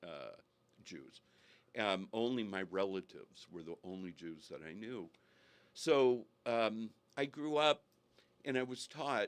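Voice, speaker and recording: On a very clean recording with a silent background, a man with a Californian accent speaks with lively intonation, big swings in loudness, and long, frequent pauses. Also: medium pitch for a man. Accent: General American (Californian). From Northern California, US. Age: 70s. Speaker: guest telling his faith story. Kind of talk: interview testimony. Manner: halting with frequent fillers.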